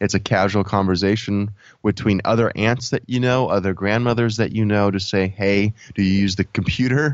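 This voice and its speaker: A man speaks in an ordinary speaking voice, fairly low in pitch, with fairly even intonation. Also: moderate pace, very even loudness. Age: 30s. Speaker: product development coach, former mechanical engineer. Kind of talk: casual interview.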